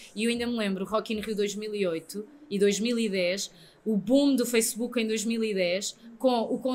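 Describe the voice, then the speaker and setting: This woman speaks at a moderate pace. Her intonation stays fairly even. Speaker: radio presenter. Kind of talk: interview answer.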